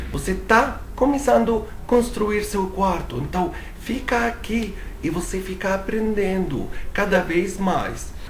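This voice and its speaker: Over noticeable background noise and audible room echo, a man talks with a non-native accent. His voice is high-pitched, with lively intonation. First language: not Portuguese (speaking Portuguese). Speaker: English teacher. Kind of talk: tutorial.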